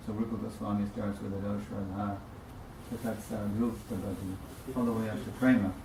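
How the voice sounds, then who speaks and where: Amid audible room echo and noticeable background noise, a man talks at a fairly quick pace with a fairly low pitch and monotone, flat intonation. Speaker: religious teacher. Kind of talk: religious class lecture.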